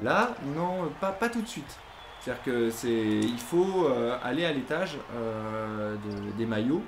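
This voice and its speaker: There is noticeable background noise as a man with a strong French accent speaks with lively intonation. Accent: thick French accent in English. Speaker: YouTuber and basketball fan; gaming channel host. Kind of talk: casual chat. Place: home room.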